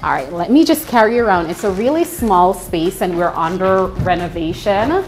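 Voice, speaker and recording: Music plays in the background as this voice moves at a moderate pace with lively intonation. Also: woman, medium pitch for a woman. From Jamaica. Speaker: cafe owner. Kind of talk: interview and shop tour. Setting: in her cafe.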